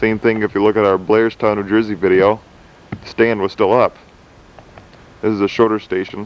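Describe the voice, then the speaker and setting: Speech moves at a moderate pace with long, frequent pauses and a monotone, flat intonation. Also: man, fairly low pitch for a man. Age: 20s. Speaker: railroad enthusiast. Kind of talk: video narration. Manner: casual.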